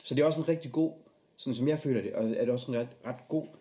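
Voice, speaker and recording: A man's dark, mellow, somewhat breathy voice at a fairly quick pace. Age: 30s. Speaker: podcast host. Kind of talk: casual interview chat.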